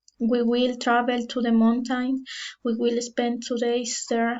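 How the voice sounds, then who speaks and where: In a Spanish accent, a woman with a high voice talks at a very slow pace. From Ecuador. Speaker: language student. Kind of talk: class presentation. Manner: halting.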